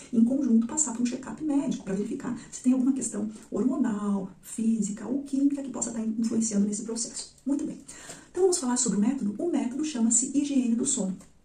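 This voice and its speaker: Soft-spoken and high-pitched, a woman talks at a fairly quick pace with ordinary pitch variation amid audible room echo. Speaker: psychologist. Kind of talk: educational video monologue.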